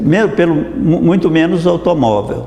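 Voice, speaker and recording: Amid audible room echo and noticeable background noise, a man with a fairly high pitch speaks at a fairly slow pace with very wide pitch swings. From Brazil, Minas Gerais countryside. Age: 80s+. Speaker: dentist. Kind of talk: interview testimony. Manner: halting, with many restarts.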